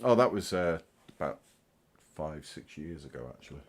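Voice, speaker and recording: A man's very deep, low voice with lively intonation and a British accent. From Britain. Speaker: hobbyist YouTuber. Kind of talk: casual livestream show-and-tell.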